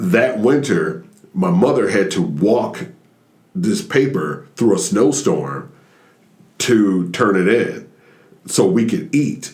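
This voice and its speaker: Very slow and full of long, frequent pauses, a man speaks at a medium pitch with vocal fry, very wide pitch swings and very even loudness. Room echo is audible. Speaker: stand-up comedian. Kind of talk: casual chat.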